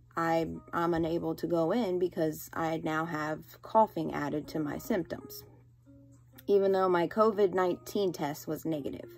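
Over faint music in the background, a woman with a fairly low pitch speaks at a moderate pace in a tired tone, with ordinary pitch variation. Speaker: teacher. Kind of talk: casual vlog chat. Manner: tired voice of a coughing patient. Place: home room. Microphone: phone near.

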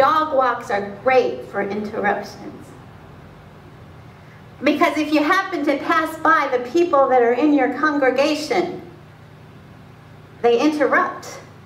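Amid audible room echo, a woman with a high voice and lively intonation speaks at a fairly slow pace, leaving long, frequent pauses. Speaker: pastor. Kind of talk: spoken word sermon. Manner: conversational, personal anecdote. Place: church. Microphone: camera far.

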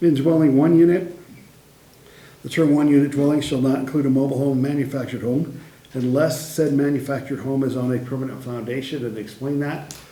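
A man's fairly high voice with ordinary pitch variation at a fairly quick pace, amid noticeable background noise and audible room echo. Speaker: city staff presenting to council. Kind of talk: council meeting presentation. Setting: council meeting. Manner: fast.

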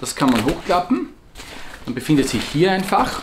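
A man speaks in an Austrian accent at a moderate pace. His pitch swings very widely, and there is noticeable background noise. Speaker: survival gear shop owner and video host; product reviewer. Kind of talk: product review video. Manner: casual, with frequent hesitations. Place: office.

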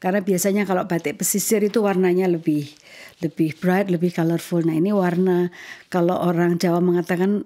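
Her voice is fairly low in pitch, dark and mellow, with very even loudness. The woman moves at a fairly quick pace in a flat monotone. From Indonesia. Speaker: ambassador hosting a podcast. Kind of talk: interview. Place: home room. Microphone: studio mic.

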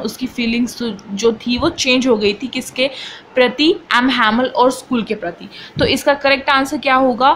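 A woman speaks in a high voice with fairly even intonation over noticeable background noise. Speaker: online tutor. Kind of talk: tutorial.

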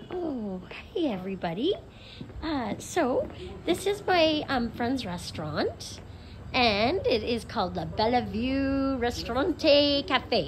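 A woman speaks at a very slow pace with a high pitch and very wide pitch swings. Noticeable background noise runs behind her. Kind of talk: casual vlog chat. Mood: cheerful, enthusiastic. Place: cafe. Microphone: phone near.

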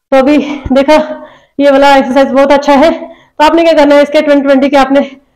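Against a quiet background, a woman speaks in a high pitch at a moderate pace. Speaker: fitness instructor. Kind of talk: tutorial. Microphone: lapel.

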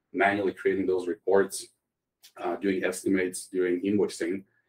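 The man has a Croatian accent and a fairly low pitch. He talks at a moderate pace with monotone, flat intonation. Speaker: tech startup CEO. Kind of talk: interview.

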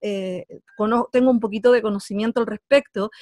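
In a Chilean accent, a woman talks at a moderate pace with fairly even intonation, recorded with a dry, close sound and no echo.

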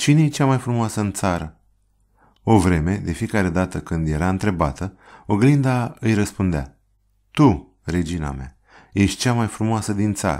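A man's fairly low, dark and mellow voice with lively intonation at a moderate pace, in a very clean recording with a silent background. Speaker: audiobook narrator. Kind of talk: storytelling, scripted narration of a fairy tale.

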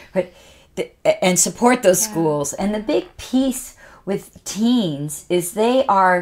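Very wide pitch swings mark a woman's speech in a Canadian accent. She talks at a very slow pace. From Canada. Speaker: motivational speaker and author; motivational speaker. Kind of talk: casual interview chat. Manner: animated. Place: studio. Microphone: studio mic.

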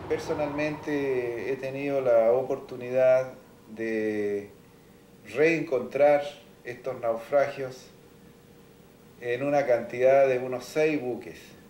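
Very slowly, a man speaks with fairly even intonation and long, frequent pauses. Room echo is audible. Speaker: maritime historian interviewee; interviewee. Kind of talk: interview. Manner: hesitant, filler-laden. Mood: calm, explanatory. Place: home room.

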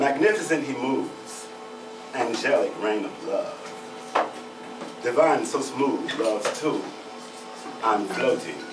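With a very slow pace, a man talks as music plays in the background. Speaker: poet performing at open mic. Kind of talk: performed poem, love poem read aloud on stage. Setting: open mic stage with audience. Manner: nervous at first, then animated and playful; rhythmic, rhyming, sensual delivery. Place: bar. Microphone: camera far.

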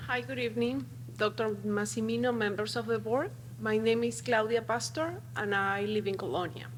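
Over audible room echo, a woman with a very deep, low pitch talks at a moderate pace with very wide pitch swings. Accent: Spanish. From Peru. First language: Spanish. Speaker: parent speaking at public comment. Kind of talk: public comment at board meeting. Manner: halting.

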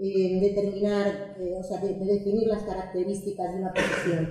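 A woman's dark, mellow tone with audible room echo

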